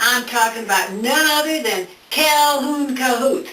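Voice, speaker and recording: A woman's put-on character voice, high-pitched and drawling, at a fairly slow pace with audible echo. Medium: solo performance. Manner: folksy, drawling.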